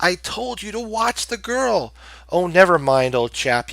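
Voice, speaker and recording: Putting on a character voice, a man speaks rather slowly in a high register. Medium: read story.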